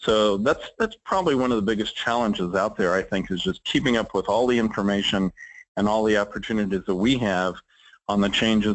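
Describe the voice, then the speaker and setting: Using an ordinary speaking voice, a man talks at a fairly quick pace with fairly low pitch and fairly even intonation. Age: 60s. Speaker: trade association executive. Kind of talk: interview.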